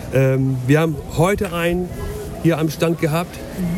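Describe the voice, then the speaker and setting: A man's fairly slow, fairly even-toned speech, with audible room echo and noticeable background noise. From northern Germany, Lower Saxony. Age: 40s. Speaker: local politician. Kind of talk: casual chat. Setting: outdoors.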